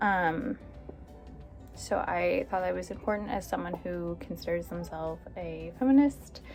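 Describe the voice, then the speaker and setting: Music plays in the background. A woman talks at a fairly slow pace. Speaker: mother and book YouTuber. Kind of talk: casual talk to camera. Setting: home with background noise.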